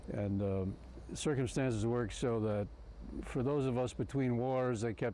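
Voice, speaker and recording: A man with a Midwestern American accent and medium pitch speaks at a moderate pace in a dark, mellow tone. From Ohio, Cincinnati. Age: 70s. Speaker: retired advertising executive, club member. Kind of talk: oral history interview. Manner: halting, many fillers.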